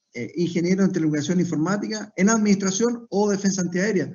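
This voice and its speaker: This is a man with a high-pitched voice. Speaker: air force officer. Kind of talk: formal event moderation. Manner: formal.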